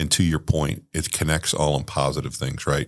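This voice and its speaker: A man's very deep, low voice with vocal fry and monotone, flat intonation. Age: 60s. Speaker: podcast host. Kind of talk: casual chat.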